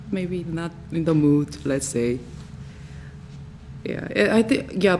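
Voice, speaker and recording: The speaker has a Korean accent and talks at a very slow pace. Noticeable background noise is present. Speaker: jazz singer, master's student. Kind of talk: Q&A after research presentation. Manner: halting, many fillers.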